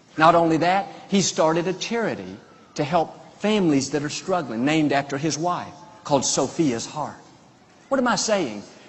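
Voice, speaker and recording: Over noticeable background noise, a man speaks at a fairly high pitch. His pace is moderate and his intonation lively. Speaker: preacher giving a sermon. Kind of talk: sermon preached to a congregation. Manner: upbeat, enthusiastic, motivational.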